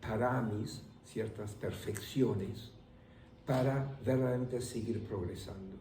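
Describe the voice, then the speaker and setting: The speech moves at a very slow pace with ordinary pitch variation. Noticeable background noise runs underneath. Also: man. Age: 80s+. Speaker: meditation teacher; voice of Spanish course translations. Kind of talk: interview answer.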